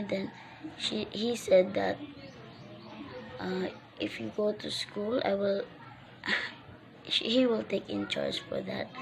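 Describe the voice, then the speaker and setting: A woman with a Filipino accent speaks at a fairly slow pace over music in the background. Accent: Filipino (Waray) English. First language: Waray / Filipino. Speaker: vlogger, recent graduate. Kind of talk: personal vlog message. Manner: halting, many self-corrections.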